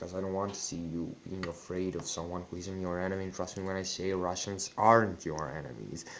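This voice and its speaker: Very deep and low in pitch, a man speaks with a Serbian accent amid audible room echo. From Serbian, former Yugoslavia. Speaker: YouTuber. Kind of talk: personal vlog monologue. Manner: halting.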